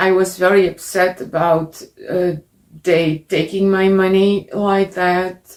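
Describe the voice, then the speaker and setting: Very slowly and in a flat monotone, a woman speaks with very even loudness. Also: medium pitch for a woman. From Netherlands. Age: 50s. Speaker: interviewee telling her story. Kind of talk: testimony. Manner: halting.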